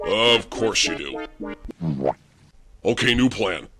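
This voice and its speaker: At a fairly slow pace, a man performs a put-on character voice at medium pitch, with faint music and sound effects in the background. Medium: read story. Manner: impatient, sarcastic.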